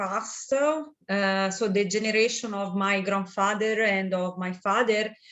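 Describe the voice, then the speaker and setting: A woman is speaking. She has an Italian accent. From Italy, Tuscany (Chianti). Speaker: winemaker. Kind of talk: interview. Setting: video call. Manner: halting, many fillers.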